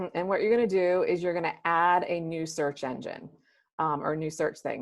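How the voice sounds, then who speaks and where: A woman's fairly low voice over a quiet background. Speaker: software trainer. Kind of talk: webinar product demo. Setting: video call. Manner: fast; casual, filler-heavy.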